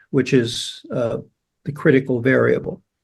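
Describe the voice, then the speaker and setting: A man speaks with vocal fry. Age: 80s+. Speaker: biology professor. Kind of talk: podcast interview.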